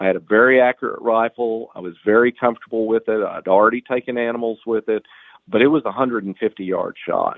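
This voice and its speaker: Here a man speaks at a moderate pace and medium pitch. His is an unremarkable speaking voice. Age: 60s. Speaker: hunter and outdoor writer. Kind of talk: casual interview. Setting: podcast interview.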